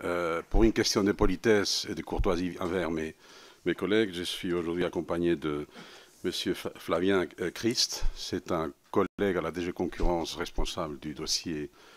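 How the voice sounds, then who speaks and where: In a Spanish accent, a man talks at a fairly slow pace with very deep, low pitch and fairly even intonation. The recording is very clean, and the background is silent. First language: Spanish (speaking French). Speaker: senior EU official. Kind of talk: formal testimony to parliament. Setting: parliamentary committee hearing. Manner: halting, many hesitations.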